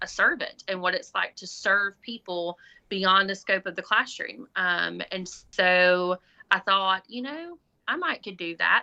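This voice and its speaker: Against a quiet background, a woman with a Southern US accent speaks fairly slowly in a bright, sharp tone, with ordinary pitch variation. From Alabama. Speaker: school administrator, former special education teacher. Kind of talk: podcast interview.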